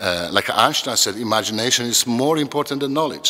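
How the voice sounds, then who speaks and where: Noticeable background noise runs behind the recording. A man speaks with a non-native accent. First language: not English. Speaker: educator, children's program founder. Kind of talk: interview monologue. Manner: halting, many repetitions.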